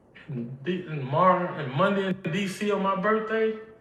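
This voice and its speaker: A high-pitched man with an American accent talks with lively intonation, with audible room echo and noticeable background noise. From Mississippi, US South. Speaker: inventor / company figure interviewed. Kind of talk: interview.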